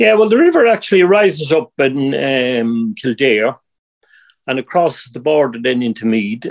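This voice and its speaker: The speaker has an Irish accent and keeps a moderate pace. The pitch swings very widely. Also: man, fairly high pitch for a man. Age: 60s. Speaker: angler and river conservation volunteer. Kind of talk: casual interview.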